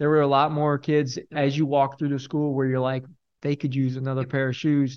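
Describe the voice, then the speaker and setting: Over a quiet background, a man talks at a fairly quick pace with a fairly high pitch, fairly even intonation and a plain, everyday voice. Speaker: corporate chief of staff, volunteer. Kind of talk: casual interview chat. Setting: studio.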